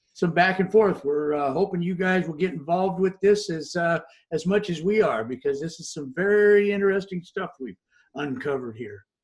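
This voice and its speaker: Big swings in loudness mark this man's speech, delivered at a moderate pace in a high pitch with ordinary variation. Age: 60s. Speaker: online talk show co-host. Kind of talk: casual discussion. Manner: halting, many fillers.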